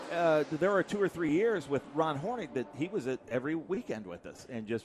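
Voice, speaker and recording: A man with an American accent talks in a fairly high pitch with lively intonation. Noticeable background noise runs behind him. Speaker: racing commentator. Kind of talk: live race commentary. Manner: animated.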